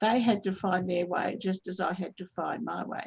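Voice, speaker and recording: Somewhat breathy, a woman with an Australian accent speaks at a moderate pace and medium pitch with ordinary pitch variation. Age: 70s. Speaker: trauma counsellor. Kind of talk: webinar talk. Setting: video call. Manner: halting, many self-corrections.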